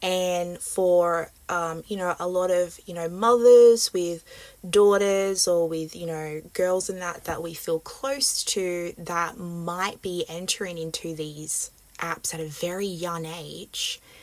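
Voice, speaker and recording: In an Australian accent, the speaker talks very slowly with fairly even intonation. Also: woman, fairly low pitch for a woman. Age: 20s. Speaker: podcast host. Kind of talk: interview.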